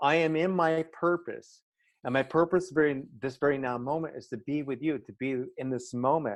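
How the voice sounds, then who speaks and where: A plain, everyday voice from a man, fairly high in pitch with ordinary pitch variation, at a moderate pace against a quiet background. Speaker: transformational life coach. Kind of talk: interview.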